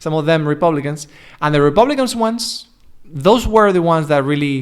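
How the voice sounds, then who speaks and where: A man with a European accent, very wide pitch swings and a moderate pace. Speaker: English coach. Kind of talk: casual chat. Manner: halting, many false starts.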